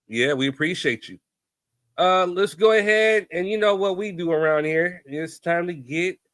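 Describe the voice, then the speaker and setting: A man with a fairly high pitch and a bright, sharp tone speaks at a fairly slow pace, the sound dry and close with no echo. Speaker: podcast host. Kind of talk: casual chat.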